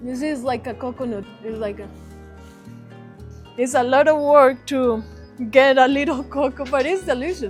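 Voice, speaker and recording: Moderately paced speech with long, frequent pauses, big swings in loudness and ordinary pitch variation, over music in the background. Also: woman, high pitch for a woman. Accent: Colombian. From Eastern Antioquia, Colombia. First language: Spanish. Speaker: relocation consultant. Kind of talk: casual walking tour talk.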